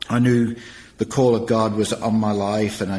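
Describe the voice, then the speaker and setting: This man speaks with an English accent at a moderate pace. His pitch is medium and his intonation is monotone and flat. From England. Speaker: nonprofit director and former youth pastor. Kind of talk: interview testimony.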